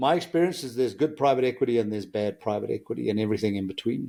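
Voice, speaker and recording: A man with a South African accent and a dark, mellow tone speaks at a very fast pace with ordinary pitch variation, in a very clean recording with a silent background. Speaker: engineer and business executive. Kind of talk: podcast interview.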